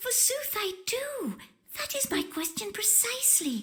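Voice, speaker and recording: A woman puts on a squeaky character voice with a timid tone and an extremely high pitch. Her pitch swings very widely at a moderate pace. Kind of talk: mock-Elizabethan speech. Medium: video game. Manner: timid, gasping.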